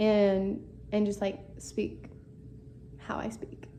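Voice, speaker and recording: A woman's voice carries audible room echo. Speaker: book-reading YouTuber. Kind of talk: casual reading aloud with commentary. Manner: casual, filler-heavy.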